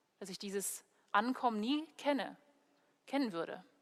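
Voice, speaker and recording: A woman speaks with an English accent. Her pitch sits fairly high, with ordinary variation. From Germany, Heidelberg. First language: English (speaking German). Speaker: preacher, theology student. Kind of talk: sermon. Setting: church video recording.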